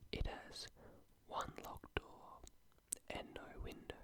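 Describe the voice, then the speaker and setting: The speaker is whispering. The pace is very slow. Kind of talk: literary fiction narration. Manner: soft, whispered.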